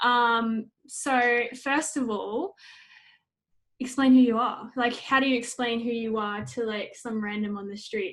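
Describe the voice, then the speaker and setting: In a very clean recording with a silent background, a woman with an Australian accent speaks at a fairly high pitch with ordinary pitch variation. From North Queensland, Australia. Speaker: podcast host. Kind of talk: casual interview; scripted intro.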